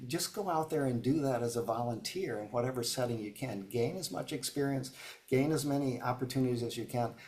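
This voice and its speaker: Somewhat breathy male voice with an American accent, medium in pitch with ordinary variation, at a fairly quick pace. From upstate New York. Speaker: business coach. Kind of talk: webinar Q&A. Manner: fast; halting, many fillers.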